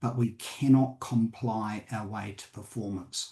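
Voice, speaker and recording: In a New Zealand accent, a man speaks at a medium pitch with a dark, mellow, somewhat breathy tone and fairly even intonation. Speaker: company director and board advisor. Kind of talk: panel discussion. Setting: conference panel. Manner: halting with fillers.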